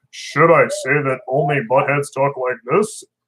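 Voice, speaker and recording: A man puts on a character voice, pitched fairly high. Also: moderate pace. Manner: mocking.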